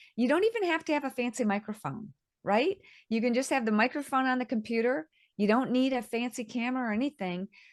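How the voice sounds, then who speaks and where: The speech comes at a very fast pace with very even loudness. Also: woman, high pitch for a woman, ordinary pitch variation. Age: 60s. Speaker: author. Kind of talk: interview.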